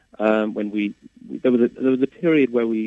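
A man with a fairly low pitch talks in a normal speaking voice. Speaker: composer and pianist. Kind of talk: interview conversation.

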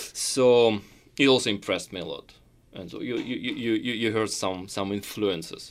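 In a very clean recording with a silent background, a man talks with a Russian accent at a moderate pace. His medium pitch shows ordinary variation, while his loudness swings widely. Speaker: concert pianist. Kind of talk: interview. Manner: halting, many fillers.

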